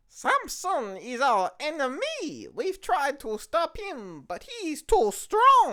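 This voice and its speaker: Very slow speech in a high-pitched, put-on character voice. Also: hardly any pauses. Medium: comedy sketch.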